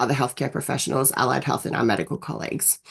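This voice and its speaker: A woman with an Australian accent. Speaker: nurse practitioner and university lecturer. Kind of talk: webinar presentation. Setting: video call webinar. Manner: hesitant, many fillers.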